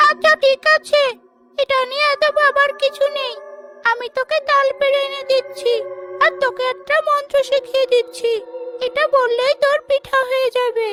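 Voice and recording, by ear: In a cartoonish character voice pitched extremely high, a woman speaks at a moderate pace.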